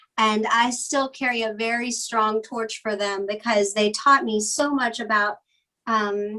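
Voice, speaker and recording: Speaking in a Virginia accent, a woman uses a fairly high pitch, fairly even intonation and a fairly slow pace. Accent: Southern US (Virginia). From US South, Blue Ridge Mountains of Virginia. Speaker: fabric designer. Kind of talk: interview conversation. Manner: hesitant, many fillers.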